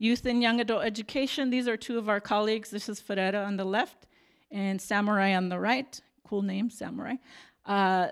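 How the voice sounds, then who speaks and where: With an American accent, a woman speaks at a medium pitch and a fairly quick pace, her intonation fairly even, in an unremarkable speaking voice captured in a very clean recording with a silent background. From Arizona, Tucson. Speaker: missionary nurse. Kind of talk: slideshow presentation. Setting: church.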